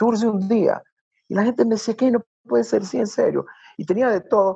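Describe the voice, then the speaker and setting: The speaker is a man with a coastal Ecuadorian accent. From Ecuador, Guayaquil. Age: 50s. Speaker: tourism consultant and nature guide. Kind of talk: casual interview.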